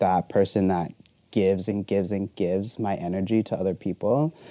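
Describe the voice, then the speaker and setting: With an American accent, a man speaks at a fairly low pitch in a dark, mellow tone and fairly even intonation. The sound is dry and close with no echo, very clean, over a silent background. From Arizona. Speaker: photographer. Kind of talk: casual chat.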